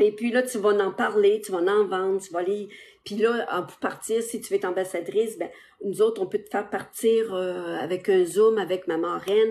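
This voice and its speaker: Speaking with a Quebec accent, a woman of medium pitch keeps a moderate pace and fairly even intonation while her loudness swings widely. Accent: Québécois French. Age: 60s. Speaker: social media seller. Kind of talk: live stream sales pitch. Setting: live stream on TikTok and Facebook. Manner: casual, hesitant with many fillers.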